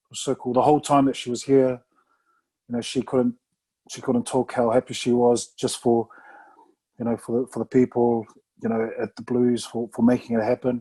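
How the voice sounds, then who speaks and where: Long, frequent pauses break up a man's monotone, flat delivery, his medium-pitched voice dark and mellow in tone. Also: moderate pace. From New Zealand (Samoan family). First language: Samoan. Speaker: retired rugby player. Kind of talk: casual interview chat.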